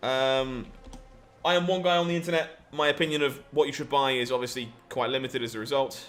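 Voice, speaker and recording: Very fast speech from a man with an English accent, fairly high in pitch with ordinary pitch variation, over noticeable background noise. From England. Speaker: game streamer. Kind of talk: live gameplay commentary. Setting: live stream.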